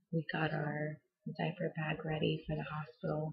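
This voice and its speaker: Someone whispers at a fairly slow pace. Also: woman. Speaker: vlogger. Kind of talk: personal vlog storytelling. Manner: whispering.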